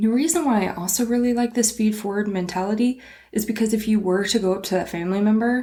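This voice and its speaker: Dark and mellow in tone, the woman's voice is somewhat breathy. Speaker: small business podcast host. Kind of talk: solo podcast monologue. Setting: recording standing at a desk. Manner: animated.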